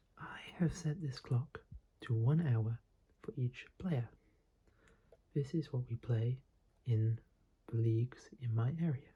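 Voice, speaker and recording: Whispering and soft-spoken, a man sounds somewhat breathy, moving at a very slow pace with long, frequent pauses. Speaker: chess teacher / ASMR creator. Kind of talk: ASMR chess lesson, whispered teaching. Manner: whispered, soft-spoken, slow.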